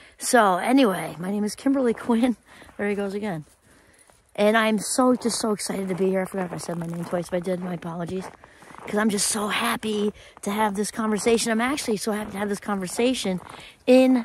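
A woman at a very fast pace with ordinary pitch variation, dry with no echo, light background noise behind her. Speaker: vlogger. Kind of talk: casual vlog chat. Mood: upbeat, grateful. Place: open country. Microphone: phone near.

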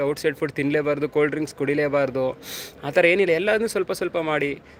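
Noticeable background noise sits behind a man speaking at a fairly high pitch with fairly even intonation. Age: 30s. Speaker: soldier and fitness vlogger. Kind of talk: casual live stream chat.

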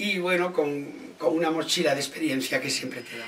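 A man talks at a fairly quick pace with a fairly high pitch. His pitch varies in an ordinary way, with light background noise behind him. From Ourense, Galicia, Spain. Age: 60s. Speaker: comedian and actor. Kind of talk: interview answer. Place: home room.

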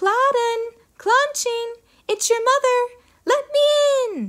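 The pace here is fairly slow. The speaker uses a put-on character voice. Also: female-sounding voice, extremely high pitch for a woman. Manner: feigned, coaxing.

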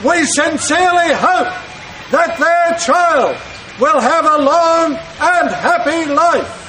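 A man's high-pitched voice at a very slow pace, with light background noise. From Australia. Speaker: town crier. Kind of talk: town crier proclamation. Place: street. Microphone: camera far.

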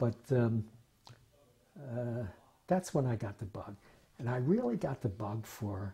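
A somewhat breathy, dark and mellow voice with an American accent, lively intonation and a fairly slow pace. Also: man. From Philadelphia. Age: 80s+. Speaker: retired state legislator. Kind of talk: oral history interview. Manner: halting, with many fillers. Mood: reflective, fond reminiscing. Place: home room. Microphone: lapel.

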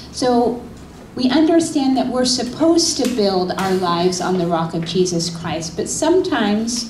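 Over light background noise and audible room echo, a woman talks fairly slowly in a high voice. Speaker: pastor. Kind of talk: sermon. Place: church. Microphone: handheld.

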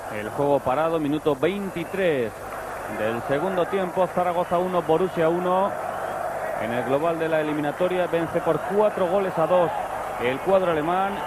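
Loud background noise runs through the clip. The sound itself is dry with no echo. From Spain. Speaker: football commentator. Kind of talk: live sports commentary.

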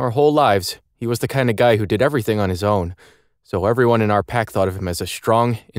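A natural reading voice with ordinary pitch variation comes through over a quiet background.

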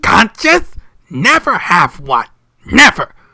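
A put-on character voice at a fairly high pitch moves along at a fairly slow pace. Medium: dub.

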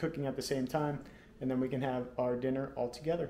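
A man speaks in a dark, mellow tone with monotone, flat intonation. Room echo is audible, along with light background noise. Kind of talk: casual cooking tutorial. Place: kitchen. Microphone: phone near.

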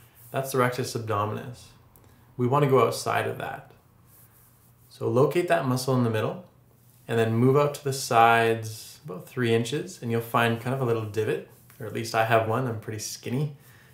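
Long, frequent pauses break up a fairly quick pace, and the tone stays calm with fairly even intonation. Room echo can be heard. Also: man, medium pitch for a man. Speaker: yoga instructor. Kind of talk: tutorial. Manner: calm, instructive. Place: home room.

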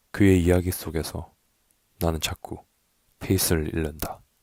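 A man's very deep, low voice in a flat monotone at a very slow pace. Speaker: poetry narrator. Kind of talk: poetry reading. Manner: soft-spoken, slow.

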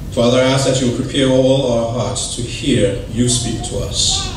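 A man speaks in a monotone, flat intonation. The room echo is audible, with light background noise. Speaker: church elder preaching. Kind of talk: sermon. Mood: calm, reverent. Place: church.

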